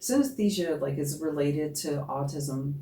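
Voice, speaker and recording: In a room with audible echo, a woman with an American accent speaks in a very deep, low, somewhat breathy voice with a dark, mellow tone. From New Jersey. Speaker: singer in a goth band. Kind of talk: casual interview chat.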